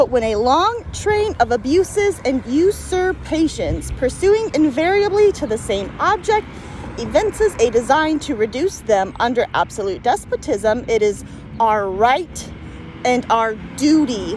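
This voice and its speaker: With music in the background, someone with an American accent speaks at a fairly slow pace. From US Midwest. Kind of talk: casual reading of a founding document outdoors with commentary. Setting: outdoors.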